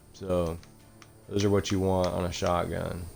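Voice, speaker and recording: In a room with audible echo, a man speaks at a very deep, low pitch in a monotone, flat way. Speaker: gaming YouTuber. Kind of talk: gameplay commentary. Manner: casual, hesitant with fillers.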